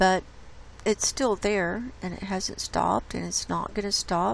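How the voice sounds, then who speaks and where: This is a woman speaking. She talks at a very slow pace. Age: 60s. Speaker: YouTube host reading a book excerpt. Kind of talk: casual commentary. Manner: halting, with many fillers.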